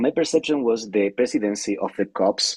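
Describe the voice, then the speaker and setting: With a Spanish accent, a man talks at a moderate pace using lively intonation. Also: dry, close sound with no echo. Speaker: climate scientist. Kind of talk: webinar panel discussion. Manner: halting, many repetitions.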